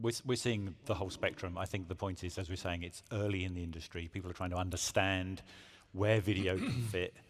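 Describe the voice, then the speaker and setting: A man with a British accent and a very deep, low pitch talks fairly quickly with fairly even intonation on a very clean recording over a silent background. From UK. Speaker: automotive industry panelist. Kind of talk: conference panel discussion.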